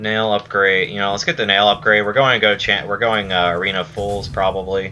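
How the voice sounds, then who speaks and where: At a fairly quick pace, a man talks in an unremarkable speaking voice, fairly low in pitch with fairly even intonation. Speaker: video game streamer. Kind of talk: gameplay commentary. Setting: live stream.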